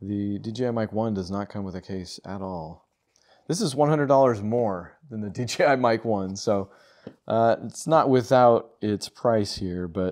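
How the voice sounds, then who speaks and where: Against a quiet background, a man with a fairly low pitch speaks at a moderate pace in an unremarkable speaking voice, with ordinary pitch variation and big swings in loudness. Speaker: gear reviewer. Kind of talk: casual unboxing commentary.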